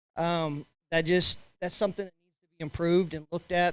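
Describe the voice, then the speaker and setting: Very fast and monotone, with flat intonation, a man speaks at a fairly high pitch on a very clean recording with a silent background. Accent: Texan. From West Texas. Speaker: agricultural banker and sheep breeder. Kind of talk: committee report at annual meeting.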